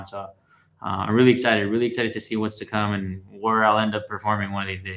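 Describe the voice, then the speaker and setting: In an American accent, a man with a fairly low pitch talks at a very fast pace in a monotone, flat delivery against a quiet background. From Norwalk, California. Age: young. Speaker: singer-songwriter. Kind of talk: interview answer. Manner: casual, hesitant.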